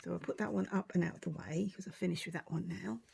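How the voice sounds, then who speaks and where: With vocal fry and a fairly low pitch, a woman talks with ordinary pitch variation. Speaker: craft tutorial host. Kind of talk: tutorial. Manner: casual, chatty.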